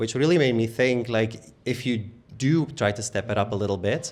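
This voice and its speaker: Speaking with a Dutch accent, a man talks at a moderate pace and medium pitch with ordinary pitch variation. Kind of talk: live panel conversation.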